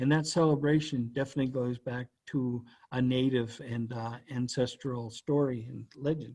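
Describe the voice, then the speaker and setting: Speaking with a Canadian Maritime accent, a man with a dark, mellow tone and medium pitch talks at a moderate pace in a monotone, flat intonation. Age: 60s. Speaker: cultural educator. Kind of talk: educational presentation.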